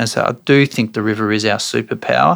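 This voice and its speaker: With an Australian accent and vocal fry, a man speaks at a fairly quick pace, his medium pitch varying in an ordinary way. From Australia, Brisbane. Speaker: property developer and precinct CEO. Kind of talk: interview.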